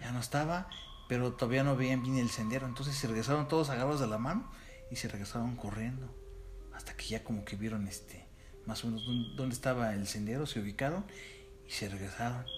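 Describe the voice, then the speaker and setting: Speaking very fast with a Mexican accent, a man of medium pitch and ordinary pitch variation leaves long, frequent pauses. Audible room echo and noticeable background noise surround him. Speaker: podcast co-host. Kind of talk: casual chat.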